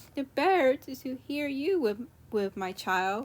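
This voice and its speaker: A woman speaks in a put-on character voice, pitched high. Her pace is moderate. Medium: read story.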